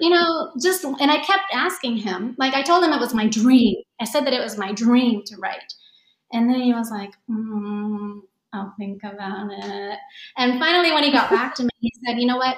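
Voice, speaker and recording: The woman's pitch is high and her intonation lively. She keeps a moderate pace. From Japan, Tokyo area. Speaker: yoga teacher and author. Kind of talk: casual chat.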